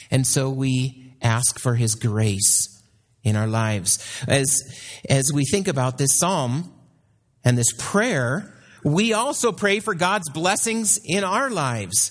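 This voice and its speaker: At a very slow pace, a man with a fairly high, somewhat breathy voice swings very widely in pitch while keeping his loudness very even. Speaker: missionary. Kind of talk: sermon; fervent prayer. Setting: church. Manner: fervent, earnest prayerful tone.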